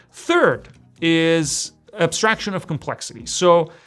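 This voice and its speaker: A man is talking. Music plays in the background. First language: not English. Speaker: programming tutor. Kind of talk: tutorial. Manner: casual, conversational.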